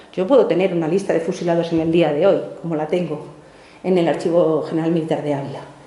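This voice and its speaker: A woman at a fairly quick pace, amid audible room echo and noticeable background noise. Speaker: archivist leading a teacher workshop. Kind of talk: workshop talk. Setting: archive workshop room with audience. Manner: fast.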